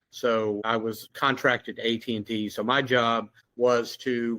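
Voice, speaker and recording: The sound is dry and close, with no echo. A man speaks with a Southern US accent at a medium pitch. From Louisiana. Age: 60s. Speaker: security officer and former police officer. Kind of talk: casual interview conversation.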